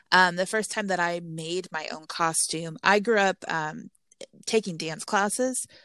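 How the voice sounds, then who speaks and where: A woman with an American accent and an unremarkable speaking voice, medium in pitch and fairly slow, on a very clean recording with a silent background and a dry, close sound with no echo. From Texas. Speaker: Halloween blogger. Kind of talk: casual interview chat.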